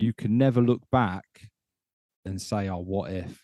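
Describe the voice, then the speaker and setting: A man with a British accent speaks in a dark, mellow tone with ordinary pitch variation, recorded dry and close with no echo. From UK. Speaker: podcast host, former air force serviceman. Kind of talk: casual interview chat.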